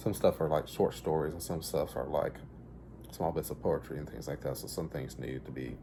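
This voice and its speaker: With a very deep, low pitch, a dark, mellow tone and vocal fry, a man speaks at a moderate pace with ordinary pitch variation. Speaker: author reading stories. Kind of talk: casual talk about his own book. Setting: at home, dining table. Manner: halting, stammering.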